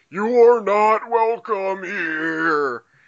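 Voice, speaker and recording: A man puts on a character voice pitched high. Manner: creepy, menacing.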